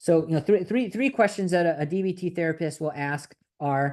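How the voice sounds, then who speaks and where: A dark, mellow tone with lively intonation over a quiet background. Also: man. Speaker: therapist trainer. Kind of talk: lecture. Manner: fast.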